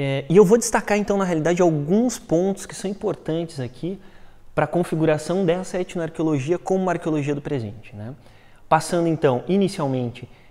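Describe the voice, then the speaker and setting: At a fairly quick pace, a man with a fairly high pitch and a dark, mellow tone speaks with lively intonation. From Brazil, Rio de Janeiro coast; Rio de Janeiro, Brazil. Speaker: archaeology researcher; conference presenter. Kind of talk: research talk; lecture. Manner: fast; hesitant, many filler words. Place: hall.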